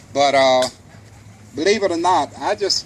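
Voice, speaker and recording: A man with ordinary pitch variation, plus noticeable background noise. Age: 60s. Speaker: historical reenactor. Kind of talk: Q&A talk to audience. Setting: museum event with audience. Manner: halting.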